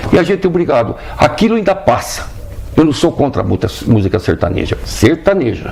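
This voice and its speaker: A man talks at a fairly quick pace with a fairly high pitch and very wide pitch swings. Noticeable background noise can be heard. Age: 70s. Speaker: band conductor. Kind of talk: TV interview. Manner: animated.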